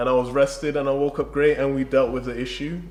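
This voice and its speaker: A man talks at a fairly quick pace with music playing in the background. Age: young. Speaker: relationship vlogger. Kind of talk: casual advice chat. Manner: calm, even level.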